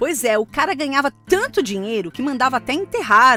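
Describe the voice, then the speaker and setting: With music in the background, the voice has a Brazilian accent and very wide pitch swings. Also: woman. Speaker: voice-over artist. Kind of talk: conversational streaming promo read. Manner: relaxed, light, casual.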